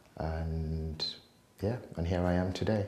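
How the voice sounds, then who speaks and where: A man speaks at a very slow pace in a very deep, low pitch. Audible room echo and noticeable background noise surround his voice. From Nigeria, then UK from 19. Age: 40s. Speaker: life coach. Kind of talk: testimony.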